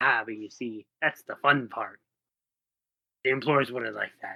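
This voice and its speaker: A man's put-on character voice, raspy, with a medium pitch and a moderate pace. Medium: actual play. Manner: smug, needling.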